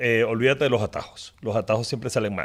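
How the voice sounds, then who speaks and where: The recording is very clean against a silent background. This male speaker sits at a medium pitch. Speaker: business executive. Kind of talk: interview. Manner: halting.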